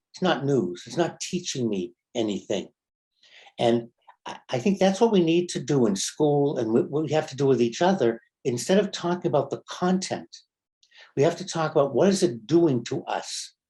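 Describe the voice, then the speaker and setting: A man's fairly high-pitched voice with a dark, mellow tone and vocal fry, at a moderate pace with very wide pitch swings. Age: 70s. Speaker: rabbi. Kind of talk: casual conversation.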